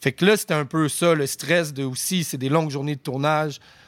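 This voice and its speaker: A man speaks with fairly even intonation. The recording is very clean, with a silent background. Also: dry, close sound with no echo. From Quebec, Outaouais and Rosemère. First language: English (speaking French). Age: 30s. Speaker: rapper. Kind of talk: casual chat.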